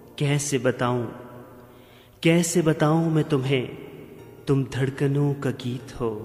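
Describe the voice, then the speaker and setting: Music plays in the background as a man speaks. His pitch is fairly high and his intonation fairly even. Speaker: radio presenter and poetry reciter. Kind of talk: romantic poetry reading.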